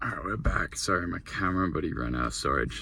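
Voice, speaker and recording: A man with an Australian accent speaks at a very deep, low pitch, his bright, sharp tone marked by vocal fry. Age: 20s. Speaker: young entrepreneur vlogger. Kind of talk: casual vlog monologue. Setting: in a car. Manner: rambling, filler-heavy.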